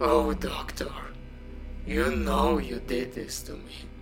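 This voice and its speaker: There is audible echo as a man speaks. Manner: bitter, vengeful, brooding.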